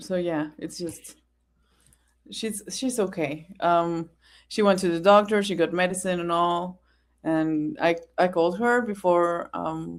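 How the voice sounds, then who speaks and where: In a very clean recording with a silent background, a woman with a non-native accent speaks at a fairly low pitch and a fairly slow pace, with ordinary pitch variation and long, frequent pauses. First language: not English. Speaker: fellow content creator guest on live stream. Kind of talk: casual chat.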